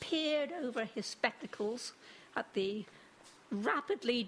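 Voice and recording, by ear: The words come out read aloud in a natural voice.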